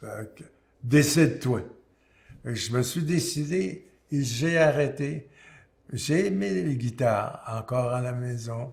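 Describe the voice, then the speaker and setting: A man with a Quebec accent at a medium pitch, somewhat breathy, with ordinary pitch variation, a very slow pace and long, frequent pauses. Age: 80s+. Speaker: singer-songwriter. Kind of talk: interview answer. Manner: hesitant, halting.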